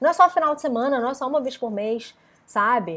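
A woman talks at a high pitch, her intonation lively throughout. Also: very clean recording, silent background. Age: 30s. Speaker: wellness coach. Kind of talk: live stream talk. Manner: casual.

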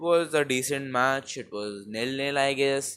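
Fairly even intonation from a man with an Indian accent and a fairly high pitch, on a very clean recording with a silent background. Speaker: football podcaster. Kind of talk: casual solo commentary. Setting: home recording with a low-quality mic. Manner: rambling, informal.

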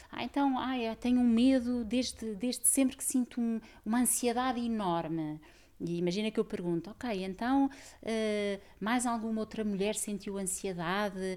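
On a very clean recording with a silent background, a woman with a plain, everyday voice speaks fairly slowly at a fairly high pitch with ordinary pitch variation. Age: 40s. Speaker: systemic therapist and author. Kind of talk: casual chat.

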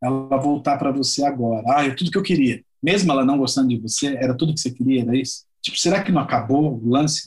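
Somewhat breathy, a man talks at a very fast pace with fairly high pitch. His pitch variation is ordinary. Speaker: musician. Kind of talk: casual chat.

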